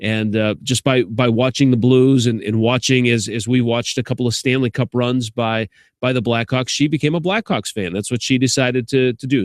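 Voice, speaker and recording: A man with a slight Chicago accent and medium pitch speaks at a fairly quick pace. His intonation is fairly even, and the sound is dry and close with no echo. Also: very clean recording, silent background. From Chicago, US Midwest. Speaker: sports radio host. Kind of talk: casual vlog monologue. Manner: casual, many fillers and restarts.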